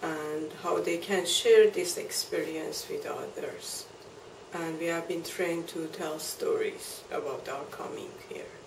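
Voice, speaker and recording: Amid noticeable background noise, a woman with a Persian accent speaks at a very slow pace. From Iran. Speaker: immigrant storyteller. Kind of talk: interview answer. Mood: calm, reflective. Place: home room.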